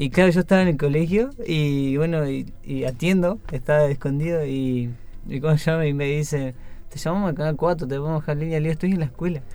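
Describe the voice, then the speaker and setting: A man speaks at a fairly quick pace in a fairly high voice. His tone is dark and mellow, with ordinary pitch variation. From Patagonia, Chubut, Argentina. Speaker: marathon runner. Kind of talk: interview. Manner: halting.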